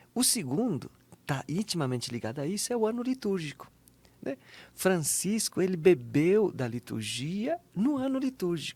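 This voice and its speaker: On a very clean recording with a silent background, a man speaks in a high voice with very wide pitch swings. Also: moderate pace. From southern Brazil, Santa Catarina. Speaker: Capuchin friar and author. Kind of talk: interview conversation.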